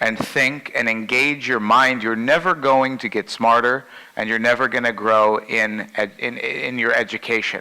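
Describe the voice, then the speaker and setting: A man speaks loudly at a fairly slow pace in a bright, sharp tone. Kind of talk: keynote talk to a group.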